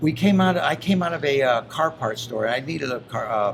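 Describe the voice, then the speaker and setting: A man speaks at a fairly quick pace with a fairly high pitch and lively intonation. Noticeable background noise runs under his voice. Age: 60s. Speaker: reality TV personality. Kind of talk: casual interview chat. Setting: interview show.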